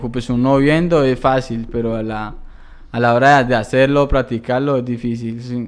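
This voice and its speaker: Delivered at a fairly slow pace, the speech keeps a fairly even intonation. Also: man. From Colombia, Palmira (Valle del Cauca); Valle del Cauca, Colombia. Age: 20s. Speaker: barber; guest. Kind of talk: interview. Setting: studio. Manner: halting, repeats words. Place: studio. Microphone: studio mic.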